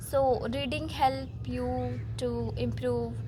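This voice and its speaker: A woman with an Indian accent speaks amid audible room echo. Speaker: self-improvement vlogger. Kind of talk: casual talk to camera. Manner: halting.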